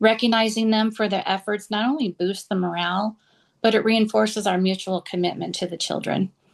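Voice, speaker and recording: Over a quiet background, a woman with an ordinary speaking voice talks at a moderate pace with fairly even intonation. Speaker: preschool director. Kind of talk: conference panel presentation. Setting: conference session.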